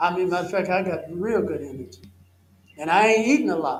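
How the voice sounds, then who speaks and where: A man speaks with a Southern US accent, and audible echo fills the room. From US South. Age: 70s. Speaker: health educator. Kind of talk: health seminar Q&A answer.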